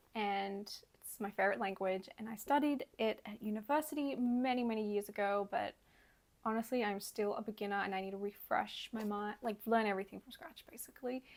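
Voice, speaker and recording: A woman with an Australian accent speaks at a fairly quick pace in a fairly high pitch, with ordinary pitch variation and big swings in loudness. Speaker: language learning vlogger. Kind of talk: casual vlog monologue.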